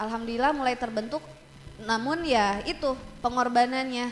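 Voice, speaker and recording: Noticeable background noise sits under a woman's high-pitched voice, which shows ordinary pitch variation. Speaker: teacher and metalcore scream vocalist. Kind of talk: casual chat. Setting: studio.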